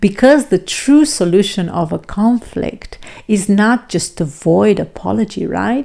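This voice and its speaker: A woman's medium-pitched voice in a non-native accent, fairly slow, with lively intonation. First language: non-native English speaker. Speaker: self-improvement and relationship vlogger. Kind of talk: reflective talk to camera.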